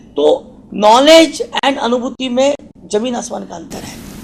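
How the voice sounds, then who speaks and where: A man talks in an extremely high voice with ordinary pitch variation. Background noise is noticeable. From Maharashtra, India. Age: 40s. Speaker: doctor. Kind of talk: interview. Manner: halting, with fillers.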